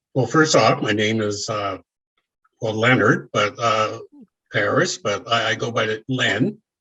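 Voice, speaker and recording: A man speaks very slowly in a fairly low pitch, with a bright, sharp tone and ordinary pitch variation. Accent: Nova Scotian. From Nova Scotia, Canada. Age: 70s. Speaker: memoir author. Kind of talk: interview. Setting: video call. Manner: hesitant, many fillers.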